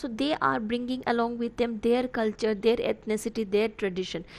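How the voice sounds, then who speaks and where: A woman's fairly high voice with a Bengali accent, fairly even intonation and a fairly quick pace. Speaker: college literature teacher. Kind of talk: lecture. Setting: online class recording. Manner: halting, many fillers.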